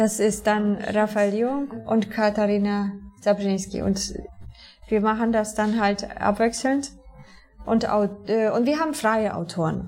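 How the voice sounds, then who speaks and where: Noticeable background noise runs behind a woman with a Polish accent. Her pitch is fairly high and her pace fairly slow. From southern Poland, near Częstochowa. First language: Polish (speaking German). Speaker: TV journalist. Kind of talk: interview. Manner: halting.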